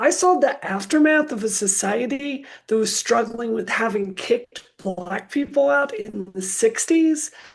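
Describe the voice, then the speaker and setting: Speaking very slowly, a woman with an American accent and a fairly high pitch uses lively intonation. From US South, Mississippi. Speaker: activist. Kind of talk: panel talk.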